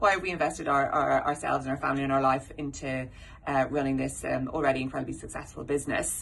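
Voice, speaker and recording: An Irish accent at a very fast pace, with vocal fry. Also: woman. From Ireland. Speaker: dental practice owner and manager. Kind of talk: corporate presentation. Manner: halting, many fillers.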